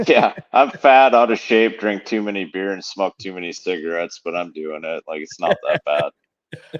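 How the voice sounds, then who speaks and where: A man with an American accent speaks at a moderate pace in an ordinary speaking voice, fairly low-pitched, with lively intonation and big swings in loudness, in a dry, close recording with no echo. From central Wisconsin. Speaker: professional bass angler and fishing guide. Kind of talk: casual chat.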